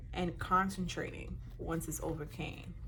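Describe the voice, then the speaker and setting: In a room with audible echo, a woman speaks. Her pace is fairly slow. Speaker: motivational speaker. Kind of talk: talk to camera. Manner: halting.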